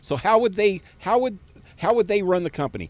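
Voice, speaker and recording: A man speaks in an animated tone at a high pitch. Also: dry, close sound with no echo. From US West, Fresno, California. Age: 60s. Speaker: gaming live streamer. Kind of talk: casual live-stream rant. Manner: halting.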